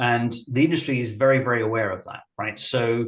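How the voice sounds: There is audible room echo as a man speaks at a moderate pace in a medium pitch with ordinary pitch variation.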